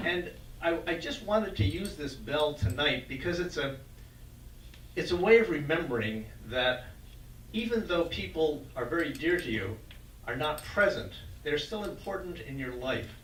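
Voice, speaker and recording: A man with an American accent, fairly high in pitch, at a moderate pace with long, frequent pauses, very wide pitch swings and audible room echo. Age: 70s. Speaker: event organizer. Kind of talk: welcoming remarks and group facilitation.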